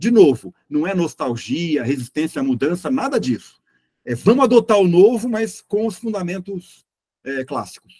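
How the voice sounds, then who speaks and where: High-pitched for a man yet dark and mellow in tone, his voice moves through very wide pitch swings at a moderate pace in a dry, close recording with no echo. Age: 60s. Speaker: journalist and consultant. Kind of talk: interview. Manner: halting, many repetitions.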